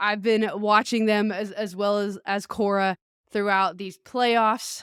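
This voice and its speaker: The delivery is monotone, with flat intonation. The pace is very slow. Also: woman, medium pitch for a woman. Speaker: podcast host and life coach. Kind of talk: podcast monologue. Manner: casual, conversational.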